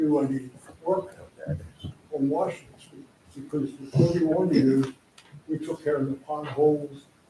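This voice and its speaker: His fairly high-pitched voice stays monotone, with flat intonation. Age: 80s+. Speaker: business owner speaking at public hearing. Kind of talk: public comment at council meeting. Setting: council meeting room. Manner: halting.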